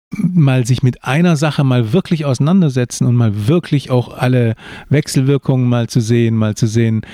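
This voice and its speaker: A dark, mellow tone with ordinary pitch variation, in a dry, close sound with no echo. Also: man. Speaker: podcast co-host, father of the other host, author. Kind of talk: casual chat.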